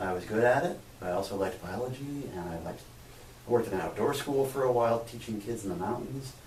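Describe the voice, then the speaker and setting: A man with an American accent talks at a fairly quick pace with lively intonation. Noticeable background noise and audible room echo surround him. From USA. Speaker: physics lecturer and researcher. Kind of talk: interview.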